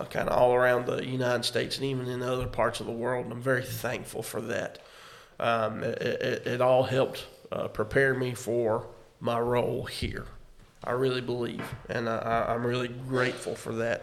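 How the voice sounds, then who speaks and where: A man speaks at a moderate pace with audible room echo and music in the background. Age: 30s. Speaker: pastor and podcast co-host. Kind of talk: casual chat.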